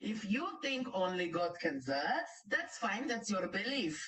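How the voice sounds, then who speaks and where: A woman with a Greek accent, at a fairly slow pace, with very wide pitch swings. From Greece. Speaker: reaction commentator on live stream. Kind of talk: heated live commentary. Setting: live stream. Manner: animated.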